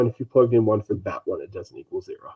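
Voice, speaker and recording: This is a man speaking. His pace is very fast. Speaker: math teacher. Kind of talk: lecture. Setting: online live stream.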